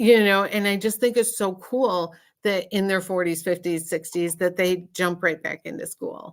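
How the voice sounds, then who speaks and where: A woman speaks with an American accent in a normal speaking voice. Her pitch is medium, with ordinary pitch variation. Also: moderate pace. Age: 60s. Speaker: psychic medium doing live readings. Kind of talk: casual chat. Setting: livestream video call.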